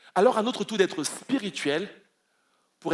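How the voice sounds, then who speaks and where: Speaking, a man makes very wide pitch swings. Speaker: pastor. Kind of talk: sermon. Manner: fast.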